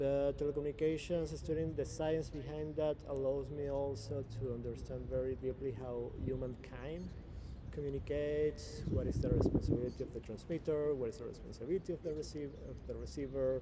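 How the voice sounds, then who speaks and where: This man's fairly quick speech comes through noticeable background noise. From Venezuela. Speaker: blockchain and spirituality guest. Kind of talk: interview. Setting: in person. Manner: halting.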